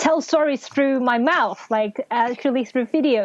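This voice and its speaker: The speaker has a Cantonese accent. The background is quiet. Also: woman. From Hong Kong. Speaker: novelist and English teacher. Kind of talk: casual interview.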